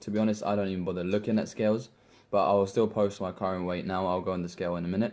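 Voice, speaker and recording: A man talks at a very fast pace with a British accent and a dark, mellow tone. The recording is very clean, with a silent background. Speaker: fitness vlogger. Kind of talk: casual vlog tutorial. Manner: animated.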